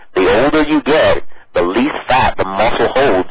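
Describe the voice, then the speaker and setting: Over noticeable background noise, a man with a Louisiana accent speaks with lively intonation. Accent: Cajun Louisiana. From US South, southeast Louisiana Cajun. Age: 30s. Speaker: powerlifter and dietitian. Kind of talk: interview.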